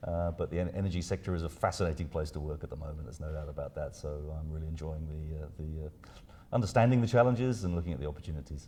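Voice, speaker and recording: A man with a British accent talks at a very fast pace in a very deep, low pitch, his tone dark, mellow and somewhat breathy with ordinary pitch variation. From UK. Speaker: research scientist. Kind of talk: interview. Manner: halting, many fillers and repeats.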